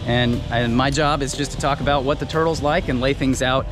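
A man speaks at a moderate pace. Clear music plays behind him, and the sound is dry with no echo. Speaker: turtle keeper vlogger. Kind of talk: casual vlog chat. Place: garden. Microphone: phone near.

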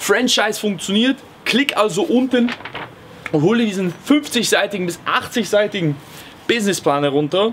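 Moderate pace from a male speaker, with light background noise. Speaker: comedic business coach parody. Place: garden.

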